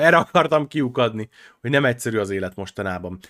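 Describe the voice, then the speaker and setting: Bright and sharp in tone, a man talks very fast with lively intonation and an animated delivery, the sound dry and close with no echo on a very clean recording with a silent background. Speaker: gaming podcast co-host. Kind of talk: casual chat.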